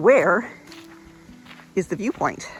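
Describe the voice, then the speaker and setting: Moderate pace with music in the background. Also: woman. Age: old. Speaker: travel vlogger. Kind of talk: casual vlog narration.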